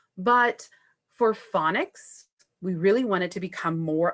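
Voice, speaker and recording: A woman speaks in an unremarkable speaking voice at a fairly slow pace, with lively intonation. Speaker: first grade teacher. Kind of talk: presentation on Facebook Live. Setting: live video stream.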